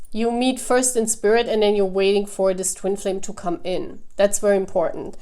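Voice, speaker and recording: In a German accent, a woman with a dark, mellow tone speaks at medium pitch with ordinary pitch variation. Her pace is moderate, with hardly any pauses. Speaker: tarot reader. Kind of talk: tarot reading. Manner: halting.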